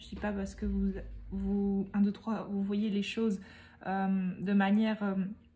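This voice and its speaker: A woman speaks very slowly in a dark, mellow, somewhat breathy tone, her intonation monotone and flat while her loudness swings widely. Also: medium pitch for a woman. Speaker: medium giving tarot card readings. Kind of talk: tarot reading guidance.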